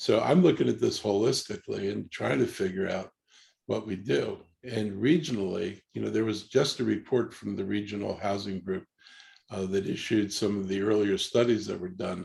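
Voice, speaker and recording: A man with vocal fry talks at a moderate pace. His pitch is fairly low, with ordinary variation. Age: 70s. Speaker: politician, county executive. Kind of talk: candidate forum Q&A.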